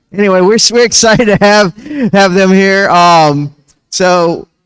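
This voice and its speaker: A man speaks with music playing in the background. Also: dry, close sound with no echo. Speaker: esports event host. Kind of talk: live event hosting. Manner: animated.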